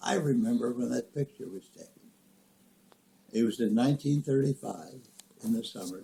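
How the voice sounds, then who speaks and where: A man with a medium pitch speaks with a Midwestern American accent. His tone is dark and mellow, and his intonation is lively. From rural Nebraska. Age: 80s+. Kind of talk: family storytelling, reminiscing.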